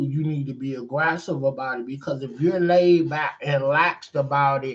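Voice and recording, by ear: Audible room echo around a man speaking with ordinary pitch variation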